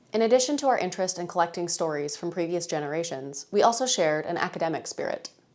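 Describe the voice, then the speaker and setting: A woman talks at a very fast pace with lively intonation and a fairly low pitch. Noticeable background noise sits behind her, and she hardly pauses at all. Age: 30s. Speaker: journalism student narrator. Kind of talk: scripted narration.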